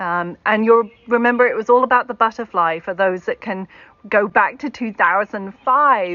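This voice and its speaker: A woman with a British accent talks at a moderate pace and medium pitch, with ordinary pitch variation. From Britain. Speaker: keynote speaker, tech accessibility executive. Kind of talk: keynote talk.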